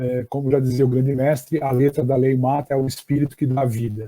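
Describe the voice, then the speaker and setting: A man's medium-pitched voice with a dark, mellow tone, fairly slow pace, and dry, close sound with no echo. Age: 60s. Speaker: education professor. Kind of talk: lecture. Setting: online live stream. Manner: halting, many fillers.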